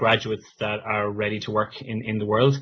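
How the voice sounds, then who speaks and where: In an Irish accent, a man talks at a moderate pace, somewhat breathy. His intonation stays fairly even. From west of Ireland. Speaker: business strategy manager, former scientist. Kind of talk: career talk with audience Q&A.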